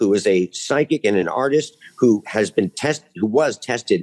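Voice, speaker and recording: Over a quiet background, a man's pitch swings very widely as he talks at a moderate pace. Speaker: UFO researcher. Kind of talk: casual chat. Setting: video call. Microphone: video call.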